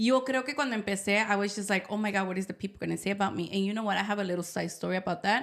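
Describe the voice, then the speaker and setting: The words come at a very fast pace with hardly any pauses, fairly even intonation, and vocal fry. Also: woman, medium pitch for a woman. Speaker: podcast co-host. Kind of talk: casual chat.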